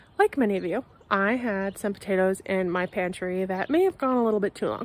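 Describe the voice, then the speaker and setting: Very fast delivery with ordinary pitch variation and a dry sound with no echo. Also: woman. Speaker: home gardener vlogger. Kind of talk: casual vlog chat. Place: garden. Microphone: phone near.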